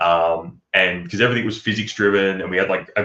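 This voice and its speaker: A man speaks at a fairly quick pace with an Australian accent. His pitch is fairly low. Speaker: game developer. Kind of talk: casual chat. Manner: halting, many fillers; animated.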